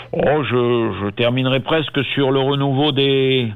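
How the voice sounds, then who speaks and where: A man speaks at a medium pitch. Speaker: culture radio show host. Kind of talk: casual chat. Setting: phone call. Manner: halting.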